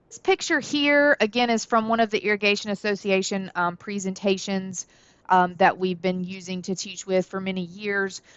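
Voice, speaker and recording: A woman with a Southern US accent at medium pitch, moderate pace, ordinary pitch variation and big swings in loudness. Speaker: college horticulture instructor. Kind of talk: lecture. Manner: casual, many filler words.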